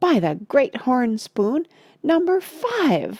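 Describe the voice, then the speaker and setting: A put-on character voice, female-sounding and high-pitched, moves at a very slow pace. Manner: strangled, exclaiming.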